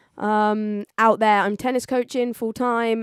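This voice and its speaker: A woman with an English accent is recorded very cleanly against a silent background, the sound dry and close with no echo. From southern England, Oxford. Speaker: DJ and music producer. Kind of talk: radio interview.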